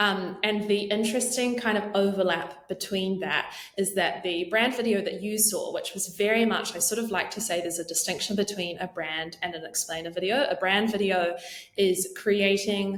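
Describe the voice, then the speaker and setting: In a New Zealand accent, a woman talks at medium pitch and a moderate pace with fairly even intonation, with noticeable background noise behind her. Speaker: marketing leader. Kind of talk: podcast interview.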